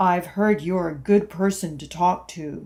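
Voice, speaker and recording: A woman does a put-on character voice, growling at a fairly low pitch with fairly even intonation. The recording is very clean, with a silent background. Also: fairly slow pace. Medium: read story. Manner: hesitant, timid.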